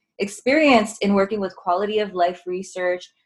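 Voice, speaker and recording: A woman speaks with a Californian accent at medium pitch. Her pace is moderate and her intonation fairly even. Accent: Californian American English. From Southern California. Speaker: autoimmune wellness coach and researcher. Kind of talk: casual interview.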